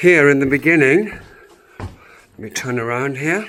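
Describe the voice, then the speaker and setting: A man speaks at a fairly slow pace, his pitch fairly high with ordinary variation. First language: not English. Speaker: homesteader vlogger. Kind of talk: casual video tour. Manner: halting.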